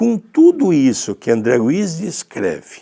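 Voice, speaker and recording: Very slowly, the man gets his words out. The pitch of his voice swings very widely. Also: very clean recording, silent background. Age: 60s. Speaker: spiritist teacher. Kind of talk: religious study talk.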